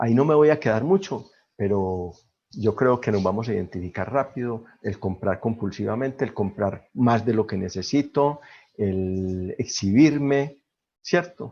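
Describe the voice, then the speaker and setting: Lively intonation carries a man's dark, mellow tone at a medium pitch. He talks at a fairly slow pace over a quiet background. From Colombia. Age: 60s. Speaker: twelve-step fellowship member. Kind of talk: testimony.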